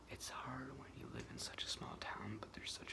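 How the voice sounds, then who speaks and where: Whispering, a woman speaks with an American accent. There is noticeable background noise. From New York state. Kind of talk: casual talk to camera. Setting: close-up microphone, ASMR. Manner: whispered, rambling.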